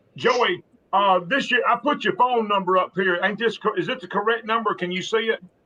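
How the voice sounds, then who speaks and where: In a raised, projected voice, a man talks at a fairly quick pace with a high pitch and ordinary pitch variation. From South Alabama. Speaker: fishing show host. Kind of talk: live stream chat. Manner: casual, halting with fillers.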